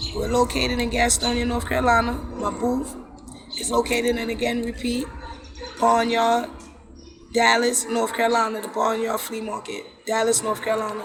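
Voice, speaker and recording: With an American accent, a woman speaks in an animated tone at a moderate pace, taking long, frequent pauses amid audible room echo and noticeable background noise. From New York City (Brooklyn). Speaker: holistic wellness coach. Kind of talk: casual chat. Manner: loud and outgoing.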